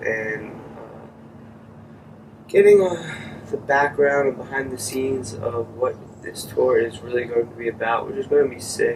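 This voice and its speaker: Moderate-speed speech from a man in an American accent, with noticeable background noise. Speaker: vlogger testing podcast gear. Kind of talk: casual vlog monologue. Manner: soft-spoken; hesitant, many fillers.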